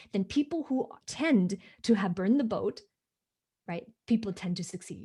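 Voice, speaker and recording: At a moderate pace, a woman speaks in a somewhat breathy, medium-pitched voice with a dark, mellow tone and lively intonation, leaving long, frequent pauses. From Hong Kong. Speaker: business coach. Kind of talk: interview. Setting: livestream video call.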